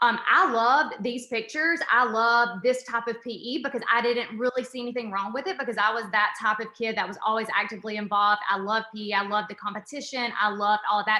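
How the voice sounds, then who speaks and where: A woman talks at a very fast pace with a fairly high voice and hardly any pauses. Background noise is noticeable. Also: ordinary pitch variation. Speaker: university professor. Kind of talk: presentation. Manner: animated.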